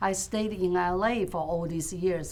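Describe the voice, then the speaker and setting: Amid audible room echo, a woman with a Chinese accent speaks slowly-ish at a fairly low pitch with ordinary pitch variation. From China. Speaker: fish processing business owner. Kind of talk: interview.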